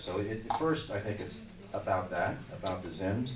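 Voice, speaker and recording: With audible room echo and noticeable background noise behind him, a man of medium pitch talks at a moderate pace. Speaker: music industry executive. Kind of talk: press conference answer. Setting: press conference with microphones.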